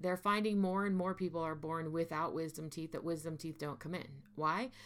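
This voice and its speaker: Recorded very cleanly over a silent background, a woman with an ordinary speaking voice and fairly low pitch talks at a moderate pace. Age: 40s. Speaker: podcast host and mental health therapist. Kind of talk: solo monologue podcast.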